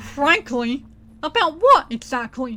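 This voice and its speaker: A woman puts on a character voice, high-pitched and full of lively intonation. She delivers it at a fairly slow pace. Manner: solemn.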